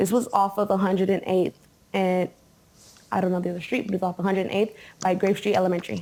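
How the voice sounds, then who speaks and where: A woman with a medium pitch and a dark, mellow tone talks at a very fast pace. Her intonation is fairly even, and she leaves long, frequent pauses. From US West Coast, Compton, California. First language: Spanish. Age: 20s. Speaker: interviewee. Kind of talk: interview.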